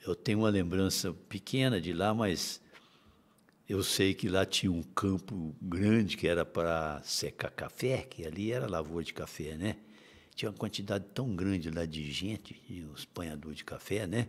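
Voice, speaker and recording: A very deep, low male voice with ordinary pitch variation at a moderate pace, on a very clean recording with a silent background. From Minas Gerais, Brazil. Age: 70s. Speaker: teacher and writer. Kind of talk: interview. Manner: halting.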